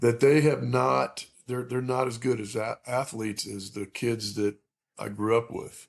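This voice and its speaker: A man talks at a moderate pace and a medium pitch, with ordinary pitch variation. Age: 60s. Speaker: high school baseball coach. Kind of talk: casual interview chat. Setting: remote recording. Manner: halting, many fillers.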